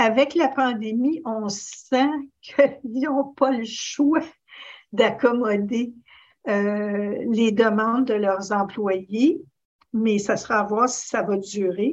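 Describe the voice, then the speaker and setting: A woman with a Quebec accent at a very slow pace, fairly high pitch and ordinary pitch variation, against a quiet background. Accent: Québécois French. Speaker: advocacy policy officer. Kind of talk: panel discussion.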